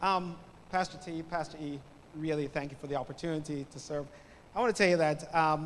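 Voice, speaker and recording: Speaking at a fairly quick pace, a man uses a fairly high pitch with ordinary pitch variation. There is audible room echo. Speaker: guest preacher. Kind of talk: sermon. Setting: church with congregation.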